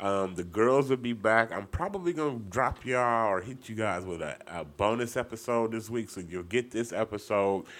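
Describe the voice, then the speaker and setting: Speaking with hardly any pauses, a man with an unremarkable speaking voice keeps a medium pitch and ordinary pitch variation. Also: moderate pace. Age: 40s. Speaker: podcast host. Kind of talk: casual chat.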